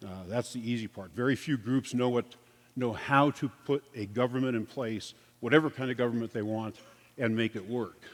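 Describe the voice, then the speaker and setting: A man talks at a moderate pace with fairly even intonation. He has an ordinary speaking voice at a medium pitch. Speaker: security consultant and former police officer. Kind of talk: conference presentation. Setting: stage with audience.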